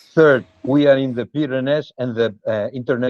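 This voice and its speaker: With a Spanish accent, a man speaks at a moderate pace and medium pitch in a fairly even intonation. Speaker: cheese specialist. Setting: video call. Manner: halting. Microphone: bad internet connection.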